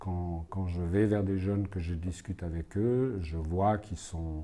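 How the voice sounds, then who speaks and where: A man with a very deep, low pitch and a dark, mellow tone sounds somewhat breathy. He talks at a fairly slow pace in a very clean recording with a silent background. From Switzerland, Fribourg and Neuchâtel. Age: 60s. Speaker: legal consultant and youth prize juror. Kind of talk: interview answers. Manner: halting, many hesitations.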